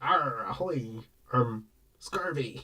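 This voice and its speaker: A man at medium pitch puts on a character voice. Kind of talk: jokey, exaggerated. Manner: playful, mock pirate.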